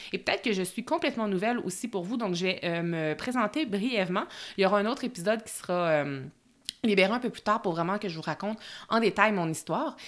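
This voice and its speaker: Very fast speech with lively intonation. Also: woman, medium pitch for a woman. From Quebec, Bois-Francs region. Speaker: podcast host, productivity coach. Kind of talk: solo podcast monologue. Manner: casual with filler words.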